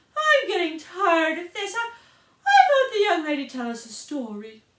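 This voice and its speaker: A woman puts on a squeaky character voice at an extremely high pitch. Her pitch swings very wide while her pace stays moderate. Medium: read story.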